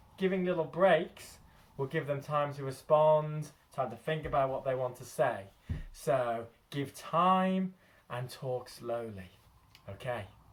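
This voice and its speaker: A man speaking at a very slow pace. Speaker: early childhood educator. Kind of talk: tutorial.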